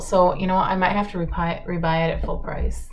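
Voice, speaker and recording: A woman's voice carries audible room echo. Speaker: makeup vlogger. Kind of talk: get ready with me chat. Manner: casual, chatty.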